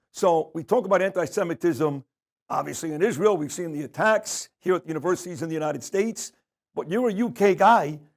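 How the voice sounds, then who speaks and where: A high-pitched man with a New York accent, at a fairly quick pace with ordinary pitch variation, on a very clean recording with a silent background. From New York, Brooklyn. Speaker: media personality. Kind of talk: interview.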